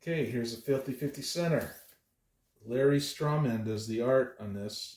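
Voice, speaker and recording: Somewhat breathy mumbling at a moderate pace, with ordinary pitch variation. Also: man, medium pitch for a man. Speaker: comic book collector youtuber. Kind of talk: casual chat. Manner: halting.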